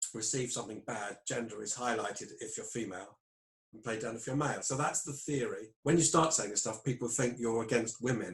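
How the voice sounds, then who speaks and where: Somewhat breathy, a man in a British accent talks at a fairly quick pace. His pitch is medium, with ordinary variation. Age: 60s. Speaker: clinical psychologist. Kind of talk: interview.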